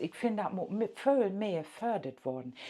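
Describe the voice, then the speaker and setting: A woman speaks at a fairly slow pace with an East Frisian accent. Noticeable background noise runs behind her. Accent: East Frisian Low German-accented German. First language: Low German (speaking German). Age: old. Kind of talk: casual monologue.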